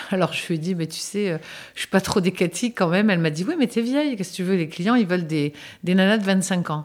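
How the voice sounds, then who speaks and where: A very fast-paced woman at medium pitch with ordinary pitch variation. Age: 60s. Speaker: interviewee sharing experience. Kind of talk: casual chat.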